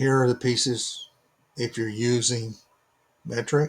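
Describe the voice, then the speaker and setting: A man at medium pitch, very slow and somewhat breathy. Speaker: DIY maker selling laser-cut kits. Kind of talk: tutorial. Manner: halting; informal, unpolished.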